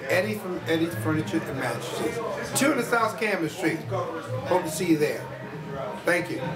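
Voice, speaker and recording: Speech at a moderate pace with music in the background. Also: man. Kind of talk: testimonial to camera.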